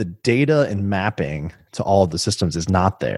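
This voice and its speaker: A man speaks with a very deep, low pitch in an American accent. The recording is very clean, with a silent background. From US Midwest, Illinois. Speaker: tech executive. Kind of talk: interview. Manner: casual.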